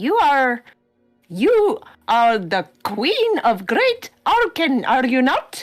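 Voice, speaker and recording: In a put-on character voice, a female-sounding voice speaks at a very slow pace with a high pitch. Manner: squawky.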